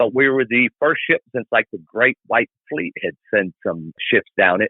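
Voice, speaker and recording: At a moderate pace, a man speaks with lively intonation and a medium pitch. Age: 60s. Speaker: long-distance motorcycle rider and Navy veteran. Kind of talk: podcast interview. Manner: loud and clear.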